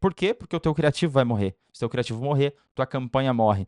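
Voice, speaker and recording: A man's fairly high pitch with ordinary pitch variation, in a dry, close sound with no echo and a quiet background. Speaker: paid ads consultant. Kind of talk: tutorial. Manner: very fast.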